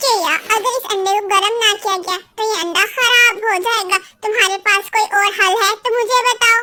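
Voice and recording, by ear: At an extremely high pitch, this cartoonish character voice keeps to a moderate pace.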